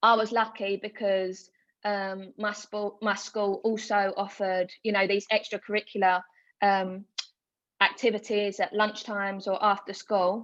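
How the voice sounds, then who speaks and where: A woman with a medium pitch reads in a flat monotone at a fairly slow pace. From Essex, east London (Hornchurch). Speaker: international hockey player. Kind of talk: webinar talk.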